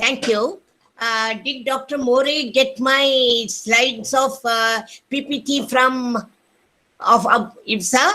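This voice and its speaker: The voice is raised and projected, with a bright, sharp tone. Its pitch varies in an ordinary way. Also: woman. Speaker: retired physicist, NGO trustee. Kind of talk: welcome speech. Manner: loud.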